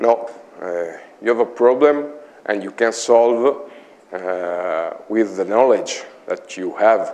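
A man with an Italian accent speaks at a very slow pace with lively intonation, big swings in loudness and long, frequent pauses. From Italy, Imola; Italy. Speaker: IT consultant; conference presenter. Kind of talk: conference talk. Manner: halting. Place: meeting room. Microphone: lapel.

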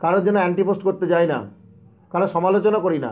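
Here a man is speaking. His pitch is high. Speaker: protest organizer and job candidate. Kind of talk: live stream monologue. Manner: impassioned.

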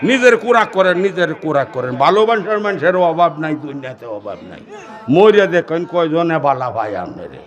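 A man with a high voice swings his pitch very widely and his loudness a lot, over noticeable background noise. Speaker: Islamic preacher. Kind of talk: humorous sermon.

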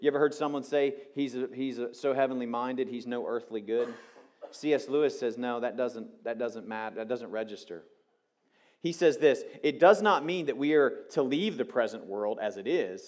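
The background is quiet. Speech moves at a moderate pace with ordinary pitch variation. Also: man, medium pitch for a man. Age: 50s. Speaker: pastor. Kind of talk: sermon. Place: church. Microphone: headset.

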